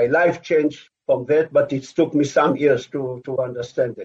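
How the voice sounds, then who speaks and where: A man with an Israeli accent, fairly high in pitch, at a fairly slow pace. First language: Hebrew. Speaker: former army officer. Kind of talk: interview. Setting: video call.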